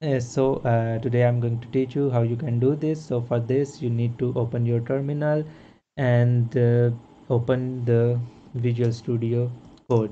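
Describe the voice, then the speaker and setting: A man speaks in a dark, mellow, somewhat breathy tone with monotone, flat intonation. His pace is fairly slow over light background noise. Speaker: programming tutor. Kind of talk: tutorial. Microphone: webcam.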